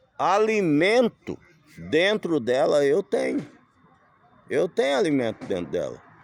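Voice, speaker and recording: A man's very slow delivery, broken by long, frequent pauses, in a dry, close recording with no echo. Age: 60s. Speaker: vlogger living in a camper van. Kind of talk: casual vlog monologue. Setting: outdoors.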